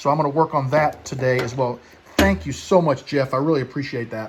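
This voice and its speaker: Enthusiastic and somewhat breathy, a man talks at a very fast pace. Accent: American. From US Midwest. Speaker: woodturning YouTuber. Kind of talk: casual vlog show-and-tell. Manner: fast talker.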